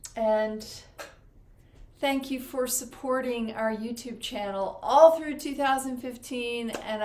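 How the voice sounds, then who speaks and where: High-pitched woman's voice with a warm tone and audible room echo. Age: 60s. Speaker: spiritual channeler. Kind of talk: live stream chat. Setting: live stream. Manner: casual, warm.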